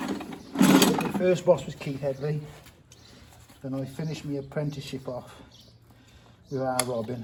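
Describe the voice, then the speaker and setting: A man speaks at a moderate pace with a fairly high pitch and ordinary pitch variation. Long, frequent pauses break his speech, and background noise is noticeable. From Shropshire, West Midlands England. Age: 40s. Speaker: farrier. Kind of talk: casual interview.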